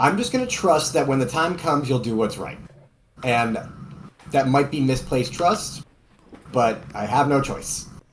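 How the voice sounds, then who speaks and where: In a Boston accent, a man with a fairly high, somewhat breathy voice speaks at a moderate pace with ordinary pitch variation and long, frequent pauses, in audible room echo. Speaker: tabletop role-playing game player. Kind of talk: in-character role-play. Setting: Discord voice call.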